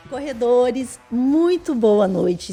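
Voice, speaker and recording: The voice moves at a very slow pace with a dark, mellow tone. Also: woman. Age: 40s. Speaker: podcast co-host, amateur runner, nutrition student. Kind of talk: podcast intro, casual chat.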